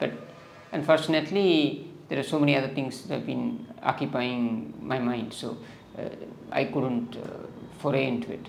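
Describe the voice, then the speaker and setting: A man talks at a moderate pace with ordinary pitch variation, his voice carrying audible room echo over noticeable background noise. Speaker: political YouTuber. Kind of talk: political commentary monologue. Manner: hesitant, many fillers.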